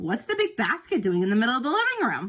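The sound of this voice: Putting on a character voice, a woman speaks fast at a fairly high pitch, her fairly bright tone swinging very widely in pitch.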